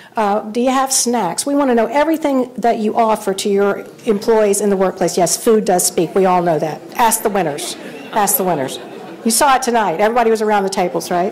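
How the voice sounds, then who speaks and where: With crowd noise in the background, a woman talks at a fairly quick pace in a fairly high pitch, her intonation lively and her loudness very even. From Central Kentucky. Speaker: awards presenter, survey firm director. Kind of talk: awards ceremony speech.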